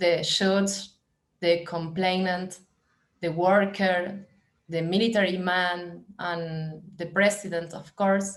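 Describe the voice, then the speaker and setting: Very slowly and in a monotone, flat intonation, a woman speaks with a Spanish accent. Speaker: film director. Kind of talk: reading aloud. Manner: halting.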